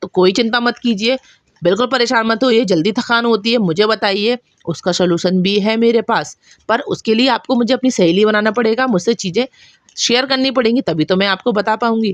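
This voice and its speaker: A woman speaks with a Bundelkhandi accent at a fairly high pitch. Her loudness is very even, and the sound is dry and close, with no echo. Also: ordinary pitch variation. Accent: Bundelkhandi touch in her Hindi. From Bundelkhand, central India. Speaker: cooking channel host. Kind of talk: cooking tutorial.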